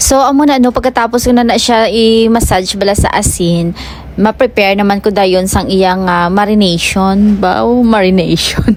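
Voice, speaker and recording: In a Western Visayas accent, a woman speaks with very even loudness. Noticeable background noise can be heard. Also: medium pitch for a woman, ordinary pitch variation, moderate pace. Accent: Ilonggo. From Philippines, Western Visayas (Hiligaynon region). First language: Hiligaynon (speaking Tagalog). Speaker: cooking vlogger. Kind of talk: casual cooking vlog. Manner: halting, searching for words.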